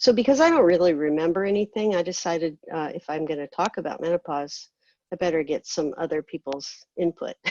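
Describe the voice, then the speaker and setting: This woman's voice has a dark, mellow tone, ordinary pitch variation and a fairly quick pace, recorded with a dry, close sound and no echo. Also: fairly low pitch for a woman. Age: 50s. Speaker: patient with cystic fibrosis. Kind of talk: panel talk on personal experience. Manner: halting, many fillers.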